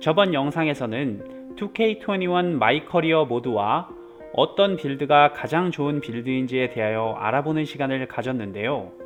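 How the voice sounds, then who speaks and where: Very wide pitch swings from a man at a fairly high pitch, a moderate pace, music in the background. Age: 30s. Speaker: gaming YouTuber. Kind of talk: video game guide narration.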